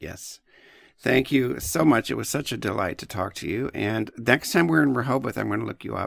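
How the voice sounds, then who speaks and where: A man talks at a moderate pace with vocal fry and big swings in loudness. The recording is very clean, with a silent background. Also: medium pitch for a man, lively intonation. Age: 60s. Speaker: podcast host. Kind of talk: interview.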